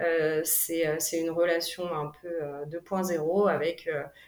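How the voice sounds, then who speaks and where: A woman talks at a very slow pace. Her voice sits fairly low in pitch. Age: 30s. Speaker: single mother. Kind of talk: personal testimony interview. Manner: hesitant, many fillers.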